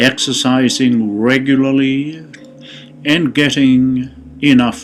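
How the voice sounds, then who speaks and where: Music plays in the background as a man speaks in a soothing tone at a very slow pace. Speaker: meditation guide. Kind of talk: guided meditation. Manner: slow, soothing.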